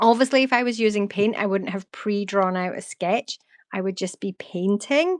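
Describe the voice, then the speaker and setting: In a Scottish accent, a woman of medium pitch speaks at a moderate pace with ordinary pitch variation, the sound dry and close with no echo on a very clean recording with a silent background. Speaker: artist. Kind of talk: live art stream. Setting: live stream. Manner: relaxed.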